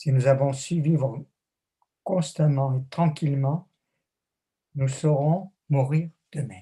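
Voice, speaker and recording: Speaking at a very slow pace, a man uses a dark, mellow tone that is somewhat breathy, with fairly even intonation. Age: 80s+. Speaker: theologian and author. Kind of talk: interview.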